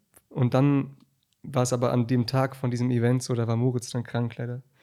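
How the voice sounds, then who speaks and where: Here is a man speaking. His tone is dark and mellow. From Berlin. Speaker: musician. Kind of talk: casual chat.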